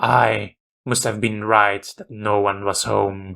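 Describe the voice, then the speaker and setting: A man's raspy, put-on character voice, fairly low and fairly slow, with monotone, flat intonation. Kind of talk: horror narration. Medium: read story. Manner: measured, grim, confessional.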